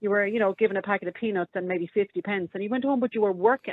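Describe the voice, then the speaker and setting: With an Irish accent, a woman speaks very fast in a fairly high pitch, her intonation lively. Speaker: radio phone-in caller. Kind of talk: casual chat.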